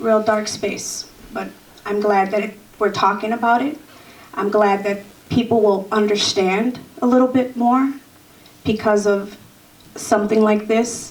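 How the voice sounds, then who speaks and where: With an American accent, a woman talks at a fairly slow pace with long, frequent pauses, fairly high pitch and fairly even intonation, over noticeable background noise. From US Midwest, Chicago South Side. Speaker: formerly incarcerated activist. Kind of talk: panel discussion testimony.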